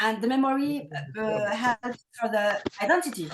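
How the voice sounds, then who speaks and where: This woman talks at a fairly slow pace. She speaks with a French accent. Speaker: novelist. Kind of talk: online meeting remarks. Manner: hesitant.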